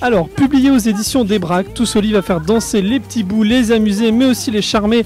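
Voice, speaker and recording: The pace of the speech is moderate. Background music plays along with it. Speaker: interviewer. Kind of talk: interview questions.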